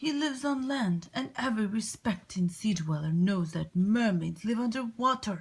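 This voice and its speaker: A female-sounding voice at a medium pitch performs a put-on character voice. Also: moderate pace, hardly any pauses. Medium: read story. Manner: fussy, scolding.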